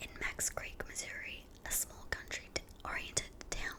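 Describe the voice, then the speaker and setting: Whispering, a woman is heard with noticeable background noise. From New Zealand. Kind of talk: ASMR true crime narration. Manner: whispered.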